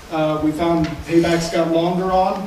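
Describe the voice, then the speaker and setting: A man with a high pitch speaks at a fairly slow pace, monotone and flat. The recording carries audible room echo and light background noise. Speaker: energy services project manager. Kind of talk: business presentation. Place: meeting room.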